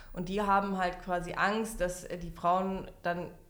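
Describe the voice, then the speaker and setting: A woman speaks with a medium pitch and fairly even intonation. Audible room echo surrounds her voice. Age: 30s. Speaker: member of parliament. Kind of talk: casual chat.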